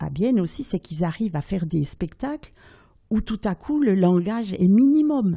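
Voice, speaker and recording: Somewhat breathy and dark, mellow in tone, a woman speaks at medium pitch and a moderate pace. Her intonation is lively, and the recording is very clean with a silent background. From Switzerland. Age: 80s+. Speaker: storyteller. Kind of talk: interview answer.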